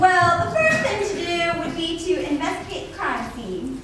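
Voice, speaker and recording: Using a put-on character voice at an extremely high pitch, a woman talks at a moderate pace amid clear background noise and clear echo. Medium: comedy sketch.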